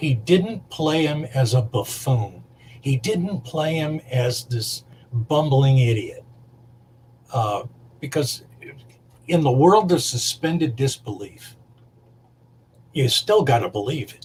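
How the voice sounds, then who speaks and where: Lively in intonation, a man speaks very slowly at a medium pitch, with long, frequent pauses. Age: 60s. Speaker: makeup artist. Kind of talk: casual chat. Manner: halting.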